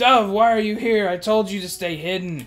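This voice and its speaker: Faint music plays behind a man doing a put-on character voice at a high pitch. He keeps a moderate pace. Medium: game stream. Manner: anxious, indignant.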